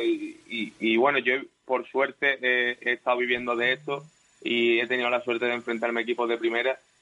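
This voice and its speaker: A man speaks at a moderate pace. He has an ordinary speaking voice with a medium pitch. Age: 30s. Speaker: footballer. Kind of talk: radio interview.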